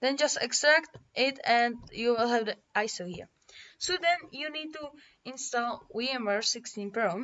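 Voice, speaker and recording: With a non-native accent, a woman talks in a high voice with lively intonation. Her loudness swings widely. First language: not English. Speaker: tech tutorial youtuber. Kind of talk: tutorial. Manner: halting.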